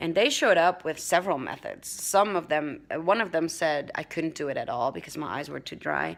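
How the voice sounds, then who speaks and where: Very clean recording with a silent background: a woman with a Dutch accent, fairly quick and with hardly any pauses, her loudness swinging widely. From Netherlands. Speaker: vlogger. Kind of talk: casual vlog talk. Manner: halting, many fillers and restarts.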